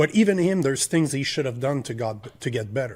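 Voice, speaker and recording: Somewhat breathy and medium in pitch, a man speaks at a fairly quick pace with ordinary pitch variation on a very clean recording with a silent background. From Quebec. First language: French. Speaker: podcast host. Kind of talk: heated debate. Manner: animated.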